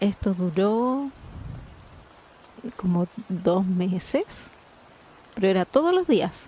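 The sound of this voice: A woman's dark, mellow tone at medium pitch, with lively intonation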